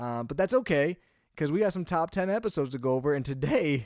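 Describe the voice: A man with fairly high pitch, a slightly mellow tone and lively intonation, in a very clean recording with a silent background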